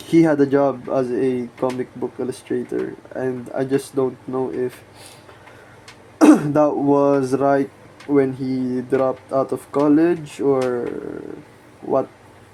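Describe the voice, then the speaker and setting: Soft-spoken delivery at a very slow pace, with long, frequent pauses over noticeable background noise. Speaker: art channel host. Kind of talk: casual monologue.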